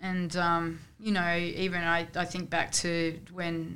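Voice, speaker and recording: A woman speaks with an Australian accent at a fairly low pitch. Room echo is audible. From Canberra, Australia. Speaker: football coach. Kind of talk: casual chat.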